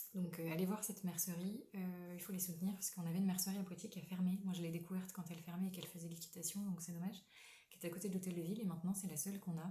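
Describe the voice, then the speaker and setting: Over noticeable background noise, someone speaks at a very fast pace with monotone, flat intonation. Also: woman, medium pitch for a woman. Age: 20s. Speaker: knitting podcaster. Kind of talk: casual chat. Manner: halting.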